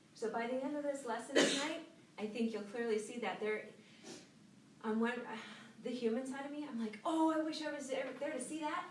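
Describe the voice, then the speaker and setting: A high-pitched woman with ordinary pitch variation, audible room echo and noticeable background noise. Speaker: Bible teacher. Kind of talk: Bible study lesson. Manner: fast.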